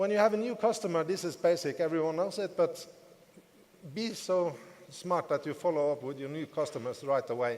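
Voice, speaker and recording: With a non-native accent, a man speaks at a fairly quick pace in a fairly high-pitched voice over noticeable background noise. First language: not English. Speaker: network marketing business leader. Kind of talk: motivational talk.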